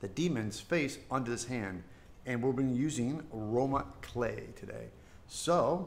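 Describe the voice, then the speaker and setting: A man's fairly slow speech with ordinary pitch variation and vocal fry. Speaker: sculptor streamer. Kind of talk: livestream tutorial. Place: home room.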